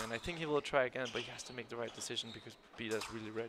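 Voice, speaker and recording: A man with a non-native accent talks at a very fast pace in a medium pitch, with fairly even intonation, big swings in loudness and noticeable background noise. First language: not English. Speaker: fencing expert analyst. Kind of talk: live commentary. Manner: halting, repeats words.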